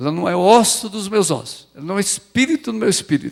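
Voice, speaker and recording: A man talking at a fairly quick pace with very wide pitch swings. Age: 70s. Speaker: pastor. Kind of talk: sermon. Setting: church.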